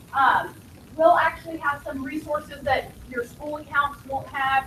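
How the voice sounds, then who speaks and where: A woman's high pitch and fairly even intonation at a fairly slow pace, over noticeable background noise. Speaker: school technology support staff. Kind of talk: orientation presentation.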